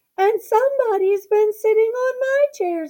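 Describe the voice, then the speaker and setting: Squeaky and extremely high in pitch, a woman's put-on character voice comes through. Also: moderate pace, ordinary pitch variation. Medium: read story.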